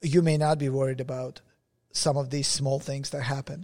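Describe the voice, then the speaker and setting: Somewhat breathy, the voice has a dark, mellow tone in a very clean recording with a silent background. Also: man. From Russia. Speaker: podcast co-host. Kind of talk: casual chat.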